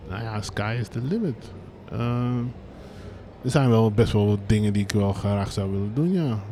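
With audible room echo, a man with a fairly low pitch and a dark, mellow tone talks at a moderate pace, his pitch moving in an ordinary way and long pauses coming often. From Brabant, Netherlands. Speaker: streetwear label co-founder. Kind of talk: live interview on stage. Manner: casual, many fillers.

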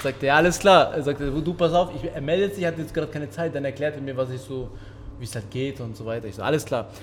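A man's fairly high voice at a very fast pace, with ordinary pitch variation, big swings in loudness and audible room echo. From Kosovo, moved to Germany at six. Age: 30s. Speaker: kickboxing champion and gym owner. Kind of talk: casual interview. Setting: boxing gym ring.

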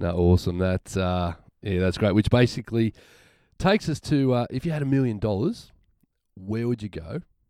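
Dry and close with no echo, a man with an Australian accent speaks at a moderate pace in a fairly low pitch, with a dark, mellow tone and lively intonation. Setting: studio.

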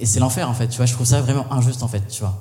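The man's voice carries audible room echo over noticeable background noise. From Paris region (Val-de-Marne). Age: 20s. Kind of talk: live panel discussion. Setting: stage with audience.

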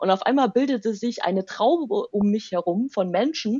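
Her voice is a plain, everyday voice, fairly high in pitch, as this woman speaks at a moderate pace with lively intonation. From eastern Germany, Saxony near Leipzig. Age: 30s. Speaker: rapper and university language lecturer. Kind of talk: interview.

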